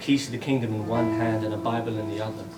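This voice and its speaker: With music in the background, a man of medium pitch talks at a very fast pace. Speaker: spoken word poet. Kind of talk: poetry reading.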